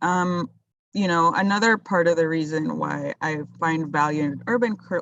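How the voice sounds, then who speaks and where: A woman's unremarkable speaking voice, fairly low in pitch and fairly slow in pace. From Colombia, moved to US at about ten. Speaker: urban farmer. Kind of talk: casual interview.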